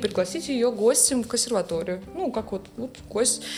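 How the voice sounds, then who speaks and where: The voice moves at a moderate pace with lively intonation. There is noticeable background noise. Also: woman. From Russia, Saint Petersburg. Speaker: music professor and composer. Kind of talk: casual interview chat. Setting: studio.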